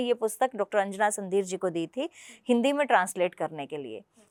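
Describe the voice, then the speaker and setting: On a very clean recording with a silent background, a woman speaks with a Punjabi accent. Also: dry, close sound with no echo. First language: Punjabi (speaking Hindi). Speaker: political party spokesperson and translator. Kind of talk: interview.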